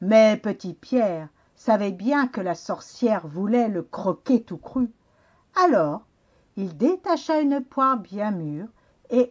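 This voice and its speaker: A woman speaks at a very slow pace in a somewhat breathy, medium-pitched voice with very wide pitch swings. The background is quiet. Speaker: children's librarian. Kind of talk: storybook narration for children.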